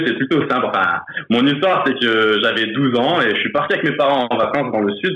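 Using an ordinary speaking voice, a man talks at a moderate pace with ordinary pitch variation and very even loudness. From France, Grenoble. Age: 30s. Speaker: football supporter. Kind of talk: casual chat.

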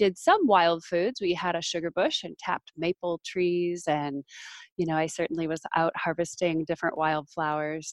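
A woman talks with fairly even intonation at a fairly low pitch. She has an ordinary speaking voice. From northern Minnesota. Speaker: wild food expert and author. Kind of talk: interview.

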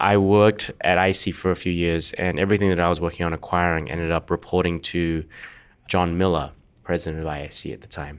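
A man with an Australian accent, very deep and low in pitch, at a very fast pace with fairly even intonation, in a very clean recording against a silent background. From Australia, Perth. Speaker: venture capitalist. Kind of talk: interview conversation.

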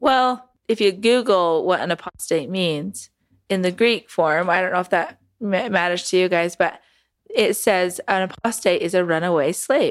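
In a very clean recording with a silent background, a woman with an American accent talks at a fairly slow pace, at medium pitch with ordinary pitch variation, in an ordinary speaking voice. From Utah, Salt Lake area. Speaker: cult survivor, documentary subject. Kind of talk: interview testimony.

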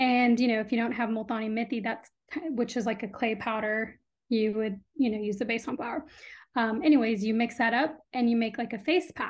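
With a plain, everyday voice, a woman speaks at a fairly quick pace, fairly high in pitch with ordinary pitch variation. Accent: General American. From US Midwest and Texas (Illinois, then Austin). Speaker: skincare brand founder. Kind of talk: interview.

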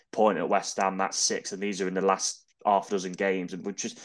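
Speaking very fast in an East Midlands accent, a man keeps a fairly low, monotone, flat delivery against a quiet background. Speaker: football fan pundit. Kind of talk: casual chat.

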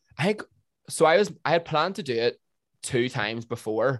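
A man with a Northern Irish accent and lively intonation, on a very clean recording with a silent background. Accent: Northern Irish (Tyrone). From Northern Ireland, County Tyrone. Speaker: TikToker. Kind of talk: casual chat.

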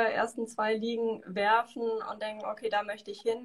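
A woman talks in a fairly high voice. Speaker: university study advisor. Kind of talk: interview. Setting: video call.

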